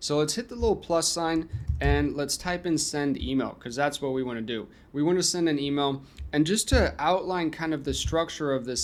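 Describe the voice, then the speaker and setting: A man's plain, everyday voice, fairly high in pitch, at a moderate pace with ordinary pitch variation, on a very clean recording with a silent background. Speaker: software tutorial creator. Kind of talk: tutorial. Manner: casual, conversational.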